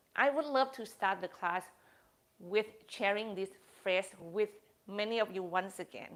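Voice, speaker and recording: A woman's medium-pitched voice at a fairly slow pace with ordinary pitch variation. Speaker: yoga teacher. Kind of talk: yoga class talk.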